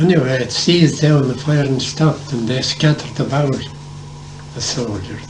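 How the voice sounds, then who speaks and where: Fairly even intonation in a Tipperary accent, with audible room echo and noticeable background noise. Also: man, fairly high pitch for a man, moderate pace. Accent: Irish, Tipperary. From Ireland, County Tipperary. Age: 80s+. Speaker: war veteran. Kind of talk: oral history interview.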